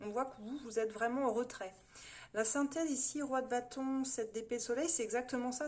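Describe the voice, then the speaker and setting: Her intonation stays fairly even as she speaks at a fairly quick pace. The woman's pitch is high. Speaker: tarot reader. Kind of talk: monthly horoscope tarot reading. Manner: fast; hesitant, many fillers.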